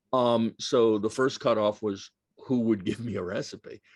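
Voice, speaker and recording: In an American accent, a man with an ordinary speaking voice talks at a moderate pace and medium pitch, the sound dry and close with no echo over a quiet background. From New York. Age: 60s. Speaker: author. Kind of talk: Q&A at a book talk.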